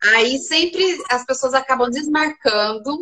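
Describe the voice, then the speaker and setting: Dry and close with no echo, a woman's high-pitched, raised and projected voice has a bright, sharp tone and lively intonation. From Brazil, small inland town. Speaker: journalist and video coach. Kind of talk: casual chat.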